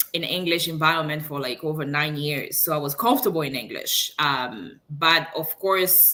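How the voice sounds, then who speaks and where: With a French accent, a woman speaks at a fairly slow pace in a very deep, low pitch with ordinary pitch variation. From Congo, Kinshasa. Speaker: engineer and online business owner. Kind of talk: interview.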